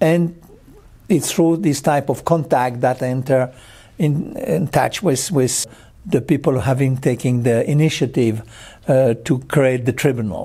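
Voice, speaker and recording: Over a quiet background, a man speaks at a fairly slow pace in a dark, mellow tone that is somewhat breathy, with ordinary pitch variation and very even loudness. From Switzerland. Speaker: human rights lawyer. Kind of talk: interview statement. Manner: halting. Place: studio. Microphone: lapel.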